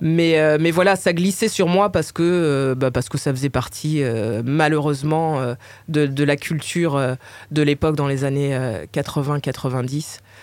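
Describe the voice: A woman with a Parisian accent, low-pitched, her tone slightly mellow, moderate in pace, with ordinary pitch variation.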